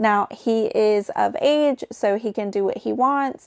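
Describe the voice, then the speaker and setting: In a very clean recording with a silent background and a dry, close sound with no echo, a woman with a Southern accent speaks at a high pitch with ordinary pitch variation. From US South. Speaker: YouTube commentator. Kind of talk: commentary narration. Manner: casual, conversational.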